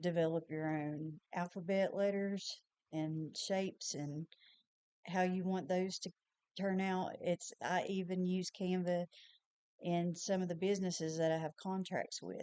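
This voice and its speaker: In a Tennessee accent, a woman talks with monotone, flat intonation. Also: medium pitch for a woman, fairly slow pace. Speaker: small business owner and designer. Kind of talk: tutorial. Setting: screen recording. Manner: casual.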